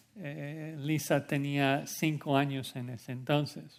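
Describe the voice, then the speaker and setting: A man speaks very slowly with an English accent, his pitch fairly high. The recording is very clean, with a silent background. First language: English (speaking Spanish). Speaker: pastor. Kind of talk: sermon.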